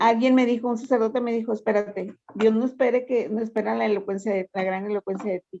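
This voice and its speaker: A woman talks at a very fast pace with hardly any pauses. Her fairly high voice has a dark, mellow tone. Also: fairly even intonation. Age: 60s. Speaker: workshop participant. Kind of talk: testimony. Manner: halting.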